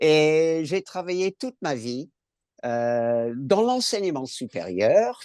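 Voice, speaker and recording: A man with a fairly high voice speaks very slowly, his pitch swinging widely, in a dry, close recording with no echo. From California, US. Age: 70s. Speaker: cancer patient, retired school administrator. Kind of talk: patient testimony in webinar. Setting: online webinar.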